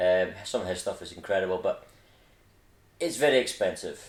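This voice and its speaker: Speaking at a moderate pace, a man with a Scottish accent. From Scotland. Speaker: RC hobby YouTuber. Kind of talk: casual vlog introduction. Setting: at home. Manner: informal with filler words.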